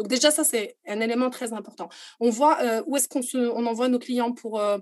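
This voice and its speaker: Moderate pace and fairly high pitch in a normal speaking voice from a woman. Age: 30s. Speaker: tour operator executive. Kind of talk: interview.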